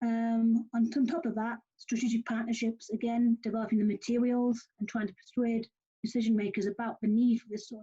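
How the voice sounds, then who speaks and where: Fairly high-pitched and fairly quick, a woman speaks with a northern English accent in a monotone, flat intonation, the sound dry and close with no echo. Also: big swings in loudness. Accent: northern English, noticeable. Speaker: youth program organiser presenting. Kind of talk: online presentation. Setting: video call. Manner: fast; hesitant, many fillers.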